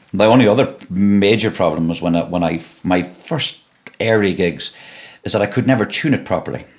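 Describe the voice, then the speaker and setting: A man with a Donegal accent talks at a fairly quick pace, his fairly low voice showing ordinary pitch variation. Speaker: singer and guitarist. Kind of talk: casual interview chat. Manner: halting, many repetitions.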